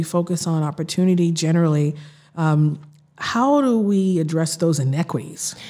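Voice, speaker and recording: In an American accent, a woman with an ordinary speaking voice talks at a moderate pace, her fairly low pitch set at a very even loudness. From Boston, Massachusetts (Roxbury). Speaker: city councilor. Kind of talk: interview conversation.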